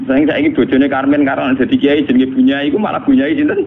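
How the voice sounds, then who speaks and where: A man talks at a very fast pace in a Javanese accent. Noticeable background noise runs behind him. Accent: Javanese-accented Indonesian. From Rembang, Central Java, Indonesia. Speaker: Islamic cleric and Quran exegete. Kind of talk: religious sermon.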